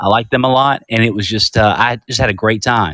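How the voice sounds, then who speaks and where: Recorded with a dry, close sound and no echo, a man with a Georgia accent speaks fairly quickly at medium pitch with fairly even intonation. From US South, Augusta, Georgia. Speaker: caller. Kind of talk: casual chat. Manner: halting.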